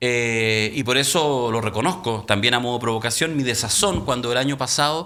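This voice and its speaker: At a fairly quick pace, a man of medium pitch speaks in a bright, sharp tone. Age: 50s. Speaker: talk show host. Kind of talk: panel discussion.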